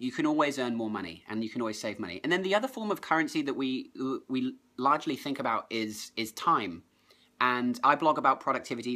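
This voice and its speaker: In a very clean recording with a silent background, a man with an English accent talks at a very fast pace. His medium-pitched voice has a bright, sharp tone and ordinary pitch variation. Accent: English accent noticed by viewers. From southern England. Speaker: productivity blogger. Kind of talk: live stream chat.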